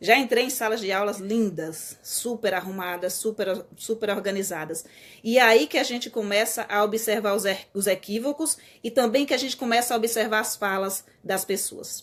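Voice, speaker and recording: Her voice is fairly high-pitched for a woman, with ordinary pitch variation. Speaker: teacher. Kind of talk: live stream talk. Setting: live stream. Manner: fast.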